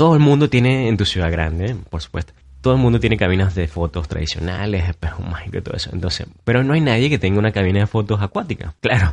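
A man with a fairly low pitch and an animated tone rattles along at a very fast pace with lively intonation and hardly any pauses. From Venezuela, Maturín. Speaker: podcast host. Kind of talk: solo podcast monologue.

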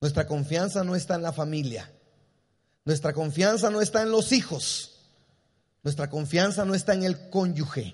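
With a high pitch and an animated tone, a man speaks at a moderate pace with ordinary pitch variation and long, frequent pauses. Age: 50s. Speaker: pastor. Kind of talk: sermon. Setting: church.

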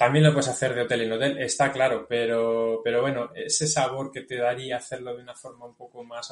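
This man's medium-pitched voice moves at a fairly quick pace. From Spain, Guadalajara province. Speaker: cycling route creator. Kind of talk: interview.

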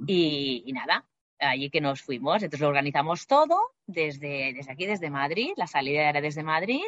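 This woman's pitch is very deep and low, with ordinary variation. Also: fairly quick pace. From Spain, Barcelona. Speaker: flight attendant. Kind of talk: interview.

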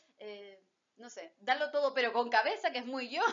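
High pitch from a female speaker. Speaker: podcast host and lawyer. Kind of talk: interview. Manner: stutters when nervous.

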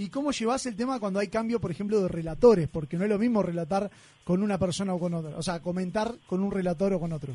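In a Uruguayan accent, a man talks at a very fast pace in a high pitch with a dark, mellow tone and ordinary pitch variation. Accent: Uruguayan Spanish (Rioplatense). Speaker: radio host. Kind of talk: casual chat.

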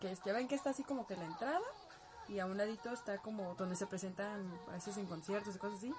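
Over crowd noise in the background, a woman talks very fast at a medium pitch with ordinary pitch variation. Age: 20s. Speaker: cosplayer and livestream host. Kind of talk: casual livestream chat answering viewer comments. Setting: home bedroom livestream.

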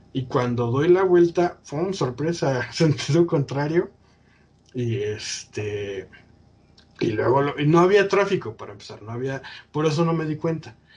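Somewhat breathy, a man talks at a fairly slow pace with a fairly high pitch. His intonation is lively and his loudness swings widely. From Mexico, State of Mexico. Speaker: podcast host. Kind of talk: casual chat.

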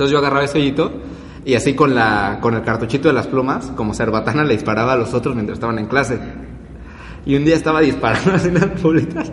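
Amid noticeable background noise and audible room echo, a man with a Mexican accent and a medium pitch talks at a very fast pace with ordinary pitch variation. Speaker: podcast co-host. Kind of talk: casual chat.

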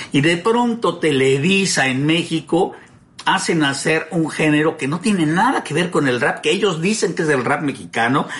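There is noticeable background noise as a man talks. His pitch is fairly high, with ordinary variation, at a moderate pace. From Mexico. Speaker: voice professional hosting a home-recorded show. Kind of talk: casual chat. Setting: recording from home.

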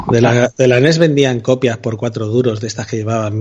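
A man's medium-pitched voice at a fairly quick pace, with noticeable background noise. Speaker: podcaster. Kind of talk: casual chat. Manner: animated.

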